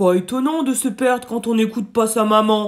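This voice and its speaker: A man puts on a growling character voice at a high pitch. He keeps a moderate pace. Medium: read story.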